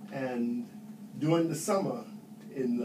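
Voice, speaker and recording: Fairly slow speech with very wide pitch swings and audible room echo. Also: man. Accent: New York. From New York City. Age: 70s. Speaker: Air Force veteran. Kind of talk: interview.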